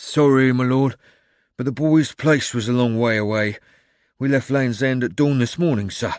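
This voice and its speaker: A man growls in a put-on character voice at a medium pitch and moderate pace, against a quiet background. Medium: read story.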